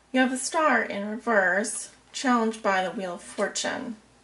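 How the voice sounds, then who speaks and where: A woman speaks quietly at a fairly slow pace. Her pitch varies in an ordinary way. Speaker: tarot reader. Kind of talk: tarot reading.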